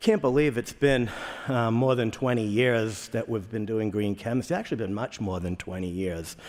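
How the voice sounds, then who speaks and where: In a Boston accent, a man speaks at medium pitch on a very clean recording with a silent background. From Boston area, Massachusetts. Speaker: chemist, conference speaker. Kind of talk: conference talk. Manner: repetitive, halting in places.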